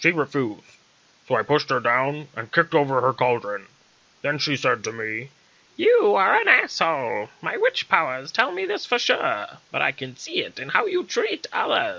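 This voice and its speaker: A put-on character voice from a man, pitched fairly high, delivered at a moderate pace. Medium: read story. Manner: loud, blustering.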